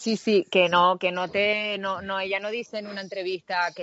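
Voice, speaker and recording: A woman with a Canarian accent at a moderate pace. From Canary Islands, Tenerife. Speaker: actress. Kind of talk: interview.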